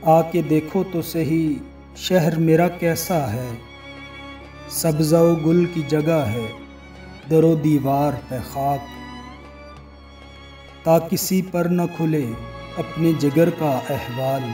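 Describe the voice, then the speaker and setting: Over music in the background, a man talks with fairly even intonation. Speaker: voice-over artist. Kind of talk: poetry reading.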